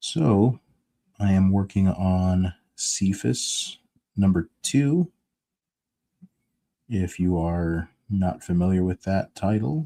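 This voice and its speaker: Mumbling at a very slow pace with long, frequent pauses, the speaker has a dark, mellow tone and ordinary pitch variation, the sound dry and close with no echo. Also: man, very deep, low pitch for a man. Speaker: comic book artist streaming his drawing. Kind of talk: casual live stream chat. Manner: mumbling to himself.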